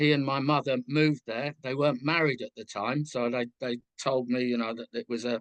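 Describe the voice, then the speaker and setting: With a London accent, a man talks at a fairly quick pace and medium pitch, with fairly even intonation. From southwest London outskirts, England. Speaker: musician. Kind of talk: interview.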